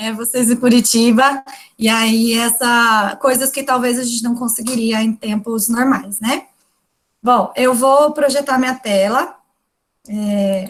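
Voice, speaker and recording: Her pace is very slow. The woman's intonation remains fairly even throughout. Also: fairly high pitch for a woman. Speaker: university lecturer. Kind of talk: lecture.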